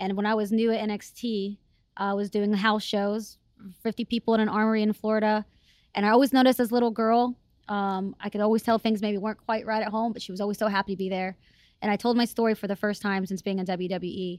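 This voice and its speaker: A woman's fairly high voice with an American accent, very fast and flat in intonation, dry and close with no echo, on a very clean recording with a silent background. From US South (Texas, Alabama). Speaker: wrestling show host and backstage interviewer. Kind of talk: casual interview chat. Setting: studio. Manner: sassy, sarcastic.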